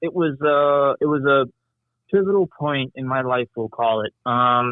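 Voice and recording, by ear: The sound is dry and close, with no echo, as a man speaks at medium pitch. His intonation is fairly even and his pace fairly slow.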